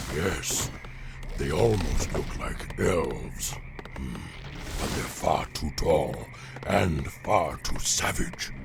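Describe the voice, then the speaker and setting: A man whispers in a put-on character voice at a very slow pace. Loud background noise surrounds him. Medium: short film. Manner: gruff, contemptuous.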